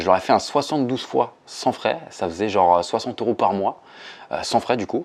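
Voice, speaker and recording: A man with a fairly low pitch talks at a moderate pace, his intonation lively. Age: 20s. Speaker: building renovation salesman. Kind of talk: interview testimony. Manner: hesitant, many fillers; casual.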